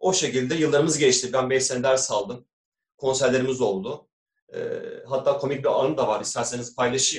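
Somewhat breathy, a man of medium pitch speaks at a fairly quick pace with ordinary pitch variation. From Istanbul, Turkey. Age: 40s. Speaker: doctor and amateur kanun player. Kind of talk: interview.

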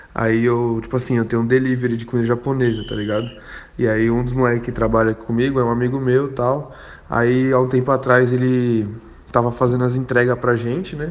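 The man's pace is fairly quick. He keeps a monotone, flat intonation throughout. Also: medium pitch for a man. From Guarujá, São Paulo state, Brazil. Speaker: food delivery business owner, listener. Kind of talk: voice message story.

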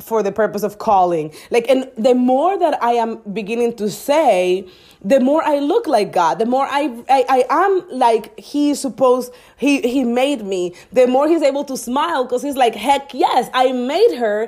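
A woman with a non-native accent and a high pitch talks at a moderate pace, her intonation lively and her tone animated. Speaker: business coach and podcaster. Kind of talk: motivational solo monologue. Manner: animated, motivational.

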